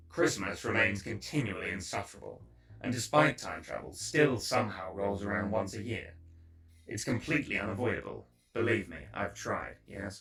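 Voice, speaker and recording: A put-on character voice comes through raspy at a moderate pace. Music plays in the background. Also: man, fairly low pitch for a man. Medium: audio drama. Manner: dry, sardonic.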